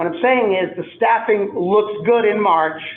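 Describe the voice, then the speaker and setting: A loud male voice at a very slow pace, with fairly even intonation. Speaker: school administrator. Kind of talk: public meeting discussion.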